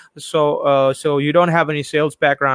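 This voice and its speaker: A man speaks in an American accent at a fairly high pitch. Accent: Indian speaker with American-leaning. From India, West Bengal. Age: 30s. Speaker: podcast host, English teacher. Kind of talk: casual interview chat. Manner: animated, profane.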